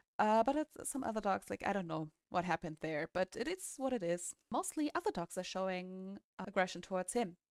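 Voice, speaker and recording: With a non-native accent, a woman talks at a fairly quick pace with hardly any pauses, in a dry, close sound with no echo. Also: medium pitch for a woman, lively intonation. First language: not English. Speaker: dog owner vlogger. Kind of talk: casual vlog talk.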